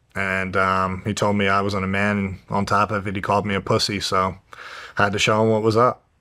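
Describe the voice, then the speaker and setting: A man with a New Jersey accent talks at a fairly quick pace in a fairly low voice, his tone bright and sharp. His intonation stays monotone and flat, and the recording is very clean with a silent background. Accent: New Jersey American. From New Jersey, US. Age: 20s. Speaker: professional mixed martial artist. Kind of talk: interview, personal life story. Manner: casual, hesitant with fillers.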